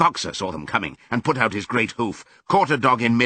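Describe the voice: What you hear is plain reading aloud.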